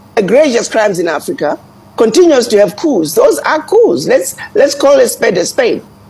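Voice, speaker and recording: A woman is talking. The swings in her pitch are very wide. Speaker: news guest commentator. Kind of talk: interview answer. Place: home room. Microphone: earbuds.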